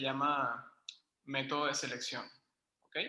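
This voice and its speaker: In a room with audible echo, a man with a fairly high voice talks at a moderate pace. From Venezuela, Caracas. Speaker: university math lecturer. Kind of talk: online lecture.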